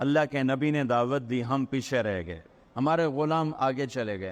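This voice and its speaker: A man speaks with a fairly high pitch and lively intonation. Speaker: Islamic preacher giving a sermon. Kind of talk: Islamic sermon storytelling in Urdu.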